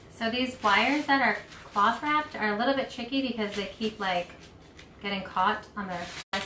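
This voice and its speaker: Amid noticeable background noise, a woman with a fairly high pitch talks at a moderate pace, her pitch varying in an ordinary way. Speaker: craft shop owner hosting live craft session. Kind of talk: live craft tutorial. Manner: casual, filler-heavy.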